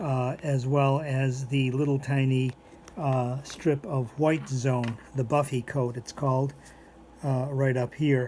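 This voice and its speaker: A man's very slow, monotone delivery with flat intonation. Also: medium pitch for a man. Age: 70s. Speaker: biology instructor. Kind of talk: lecture. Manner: halting, many fillers.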